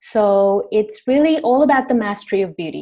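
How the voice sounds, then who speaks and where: Here a woman has a dark, mellow tone and a fairly high pitch. Her intonation is lively and her pace moderate. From India, raised in Sri Lanka and Indonesia. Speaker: beauty business owner. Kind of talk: interview answers.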